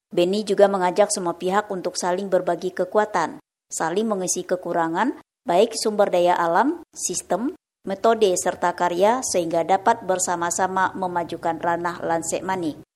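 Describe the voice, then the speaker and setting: A woman with an unremarkable speaking voice talks at a medium pitch and a moderate pace with ordinary pitch variation in a very clean recording with a silent background. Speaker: radio reporter. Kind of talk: news report.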